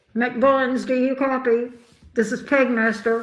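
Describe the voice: This put-on character voice is raspy and flat, almost monotone, delivered at a fairly slow pace. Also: woman, high pitch for a woman.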